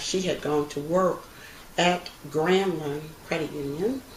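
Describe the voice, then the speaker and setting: Noticeable background noise sits behind the recording. A woman speaks in an American accent at a fairly low pitch. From Texas, United States. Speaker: credit union president and CEO. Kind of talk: interview answer, oral history.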